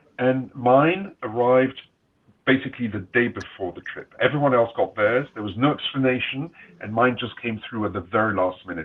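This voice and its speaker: A man speaks at a moderate pace in a medium pitch, with ordinary pitch variation and big swings in loudness. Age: 60s. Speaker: panelist, traveler. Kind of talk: panel discussion.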